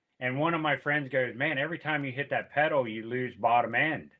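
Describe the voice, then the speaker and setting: A man with an American accent and a fairly high pitch, at a moderate pace, in a plain, everyday voice. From Pennsylvania. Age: 60s. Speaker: music promoter and guitarist. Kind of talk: casual chat.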